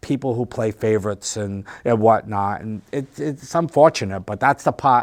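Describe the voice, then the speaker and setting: A man with an unremarkable speaking voice talks at a moderate pace in a fairly low pitch with ordinary pitch variation. The sound is dry and close, with no echo. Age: 60s. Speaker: comedian and musician who runs an open mic. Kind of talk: casual interview.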